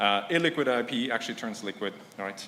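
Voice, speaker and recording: A man talks at a fairly quick pace with ordinary pitch variation. The room echo is audible. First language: not English. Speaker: conference speaker, science startup founder. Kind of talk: conference talk. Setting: stage with audience. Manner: hesitant, with fillers.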